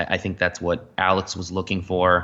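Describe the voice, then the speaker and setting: A man's very deep, low pitch at a moderate pace. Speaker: sailor and film crew member. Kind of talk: podcast interview. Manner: halting, many fillers.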